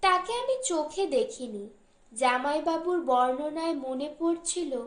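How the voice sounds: In a room with audible echo, a woman speaks with a high pitch. Her intonation is lively.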